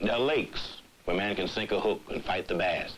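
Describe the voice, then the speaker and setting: A man with an American accent talks while noticeable background noise plays behind him. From Southern United States. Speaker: narrator. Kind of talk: documentary narration. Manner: eloquent, measured.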